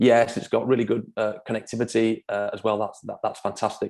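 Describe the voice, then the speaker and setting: In a Manchester accent, a man rattles along at a very fast pace with a medium pitch and monotone, flat intonation. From Manchester, northern England. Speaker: property developer. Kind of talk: presentation at online forum. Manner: halting, many fillers and repeats.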